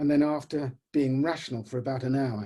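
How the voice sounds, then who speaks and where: A man's somewhat breathy, medium-pitched voice with a dark, mellow tone, at a moderate pace. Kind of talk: short story reading.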